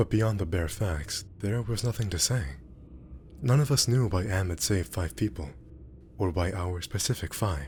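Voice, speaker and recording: The speaker uses lively intonation and vocal fry at a moderate pace. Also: man. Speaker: amateur narrator. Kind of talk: audiobook-style story reading. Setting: background ambience. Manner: mumbling, hard to follow.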